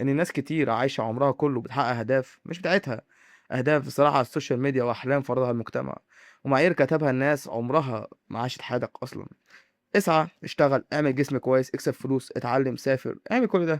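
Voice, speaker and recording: In a quiet background with a dry, close sound and no echo, a man with an Egyptian accent speaks fairly quickly at medium pitch with ordinary pitch variation. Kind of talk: motivational monologue to camera. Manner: dramatic, with pauses.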